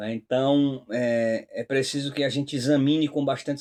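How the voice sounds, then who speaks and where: The man's voice sits at a fairly high pitch. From Northeast Brazil. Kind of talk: religious commentary talk. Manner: hesitant, frequent fillers.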